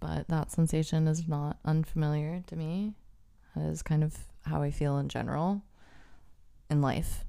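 A woman speaks at a moderate pace in a very deep, low voice. Her delivery is flat and monotone, broken by long, frequent pauses. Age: 30s. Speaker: podcast co-host, art student. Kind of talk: casual chat.

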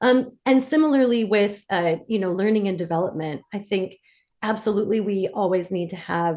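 A woman's voice with an American accent. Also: very clean recording, silent background. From US Midwest, Detroit, Michigan. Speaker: DEI consultant. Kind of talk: interview.

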